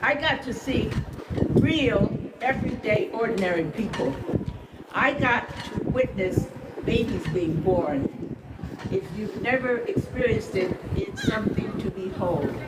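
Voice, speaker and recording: A woman with an American accent speaks fairly slowly at a fairly high pitch, with very wide pitch swings and long, frequent pauses, amid audible room echo and noticeable background noise. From US Midwest, Akron, Ohio. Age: 80s+. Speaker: retired journalist and former nurse, rally speaker. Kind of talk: speech at a rally.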